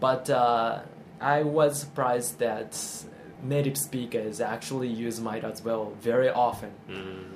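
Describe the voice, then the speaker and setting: The room echo is audible and background noise is noticeable. A man talks at a medium pitch with ordinary pitch variation. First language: Japanese. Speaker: music producer. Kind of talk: interview. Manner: halting.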